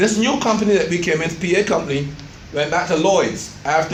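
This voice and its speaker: Noticeable background noise sits behind this recording. A man speaks at a high pitch and a moderate pace. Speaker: doctor, insurance plan presenter. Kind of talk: informational presentation to members.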